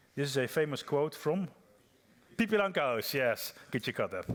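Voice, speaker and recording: At a moderate pace, a man speaks with a Dutch accent. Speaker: software developer, conference speaker. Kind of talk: conference talk. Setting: stage with audience. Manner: hesitant, many fillers and repeats.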